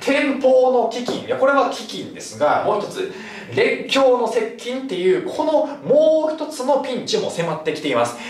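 Audible room echo around a man's voice at a moderate pace. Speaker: cram school history teacher. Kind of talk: lecture. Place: classroom.

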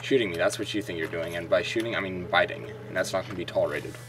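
Noticeable background noise fills the recording. Over it, the man talks at a fairly quick pace. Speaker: gaming video creator. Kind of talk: let's play commentary. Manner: animated.

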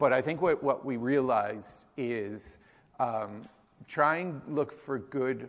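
A man talks at a very slow pace with an American accent. His pitch varies in an ordinary way. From Massachusetts, Boston area (Newton); Massachusetts. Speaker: chef and restaurant co-founder; conference presenter. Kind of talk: conference talk. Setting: stage with audience. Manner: hesitant, many fillers. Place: hall.

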